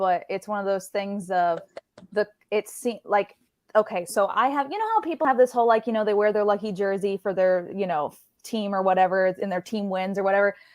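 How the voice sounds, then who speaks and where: A woman speaks at a fairly quick pace in a plain, everyday voice, her medium pitch showing ordinary variation. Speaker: ring announcer. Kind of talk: casual interview answer.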